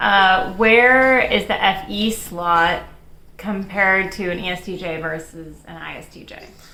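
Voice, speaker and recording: Speaking fairly slowly in a confident tone, a woman at medium pitch keeps a fairly even intonation while her loudness swings widely, with audible room echo and noticeable background noise. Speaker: personality video co-host. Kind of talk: casual chat. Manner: confident-sounding.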